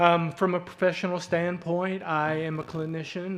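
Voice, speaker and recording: Against noticeable background noise, a man with a Southern US accent speaks at a moderate pace in a fairly high, flat monotone. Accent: Southern twang. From southeast Arkansas. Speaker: hospital executive. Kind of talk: community presentation. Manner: halting, many fillers.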